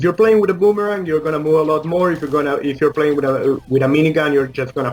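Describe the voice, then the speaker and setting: A man with a Spanish accent, music playing in the background. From Uruguay. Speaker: indie game developer. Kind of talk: interview. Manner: halting, many fillers.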